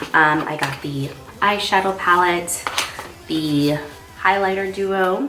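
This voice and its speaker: Pausing long and often, a woman with a fairly low voice speaks very slowly with ordinary pitch variation, amid noticeable background noise and audible room echo. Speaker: makeup artist and beauty vlogger. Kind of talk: makeup tutorial. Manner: casual, chatty.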